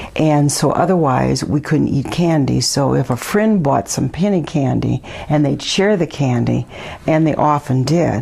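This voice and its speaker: A woman with an Upper Midwest accent at a moderate pace, amid noticeable background noise. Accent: Upper Midwest American. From Milwaukee, Wisconsin. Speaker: neighborhood resident interviewee. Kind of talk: oral history interview. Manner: hesitant, many fillers.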